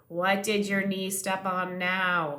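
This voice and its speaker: A woman's put-on character voice at medium pitch. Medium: read story.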